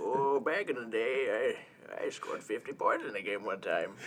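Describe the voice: A man puts on a character voice at a moderate pace, with clear background noise behind him.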